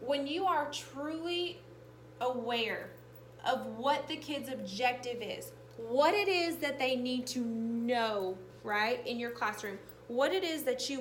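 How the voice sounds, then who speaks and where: A woman's high-pitched voice with lively intonation at a very slow pace, plus noticeable background noise and audible room echo. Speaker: teacher leading professional development. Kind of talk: professional development presentation.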